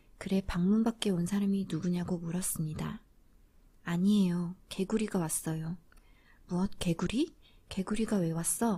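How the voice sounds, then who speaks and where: At a moderate pace, this voice carries a gentle, calm tone on a very clean recording with a silent background. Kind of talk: fairy tale reading.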